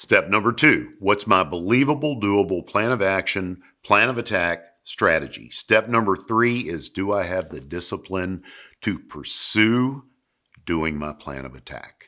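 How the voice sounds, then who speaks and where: In a Southern US accent, a man with a fairly low pitch and a bright, sharp tone speaks at a fairly slow pace with lively intonation and big swings in loudness, on a very clean recording with a silent background. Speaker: sales coach and business consultant. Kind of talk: motivational business talk to camera.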